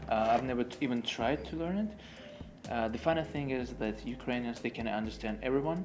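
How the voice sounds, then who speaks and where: Music can be heard behind the voice. The words come at a fairly quick pace. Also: man, medium pitch for a man, ordinary pitch variation. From Ukraine. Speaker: interviewer. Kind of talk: interview. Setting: public library.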